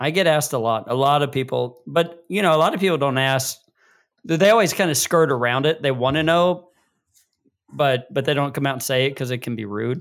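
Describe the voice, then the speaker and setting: A man speaks fairly quickly at a fairly high pitch, with ordinary pitch variation and an unremarkable speaking voice. The recording is very clean, the background silent. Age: 40s. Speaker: podcast co-host. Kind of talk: casual chat.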